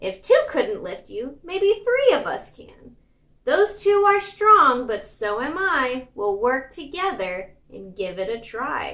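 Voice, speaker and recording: Using a put-on character voice, a woman speaks high and fairly slowly with very wide pitch swings. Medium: read story.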